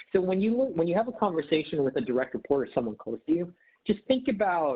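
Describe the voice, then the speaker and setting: A man with a Midwestern US accent speaks with very wide swings in pitch. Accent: General American, Midwest. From Detroit, Michigan (Filipino family). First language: not English (childhood). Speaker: management trainer. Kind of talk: online workshop presentation. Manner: casual, with many fillers.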